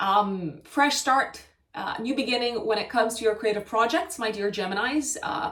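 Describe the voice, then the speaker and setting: A woman with a Romanian accent and a fairly high voice speaks at a moderate pace with lively intonation. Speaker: astrologer. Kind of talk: astrology forecast monologue. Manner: hesitant, many fillers and self-corrections.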